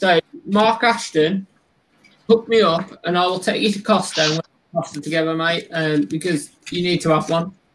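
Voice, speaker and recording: A man with a West Midlands accent speaks over light background noise. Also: moderate pace. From West Midlands England. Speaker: tarantula keeper and content creator; content creator. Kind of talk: casual chat on a livestream. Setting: live stream. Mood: jokey, relaxed. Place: home room. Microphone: video call.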